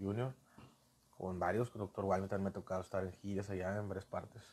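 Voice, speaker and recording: Here a man speaks at a very fast pace. His fairly low voice stays monotone and flat. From Monterrey, Mexico (Colonia Treviño); Monterrey. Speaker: professional wrestler; guest. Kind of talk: casual interview. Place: studio. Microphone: lapel.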